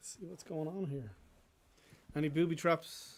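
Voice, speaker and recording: At a moderate pace, a man with an Irish accent talks at a fairly high pitch with ordinary pitch variation. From Ireland, southeast coast of Dublin. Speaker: singer-songwriter. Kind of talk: casual stage talk introducing songs. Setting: live music stream.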